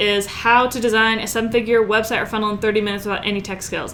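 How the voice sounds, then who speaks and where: Over noticeable background noise, a woman with a fairly high pitch talks at a very fast pace in an animated tone. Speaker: online marketing coach. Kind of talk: tutorial.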